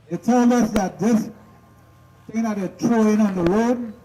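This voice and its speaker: There is noticeable background noise. Through it, a man talks at a moderate pace. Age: 60s. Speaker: village resident. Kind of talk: public address.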